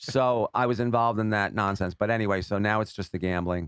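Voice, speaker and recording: A man with an American accent and an unremarkable speaking voice talks at a moderate pace, fairly low in pitch with lively intonation, in a dry, close sound with no echo. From New York. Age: 60s. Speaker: social media personality and gambler. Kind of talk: casual podcast interview.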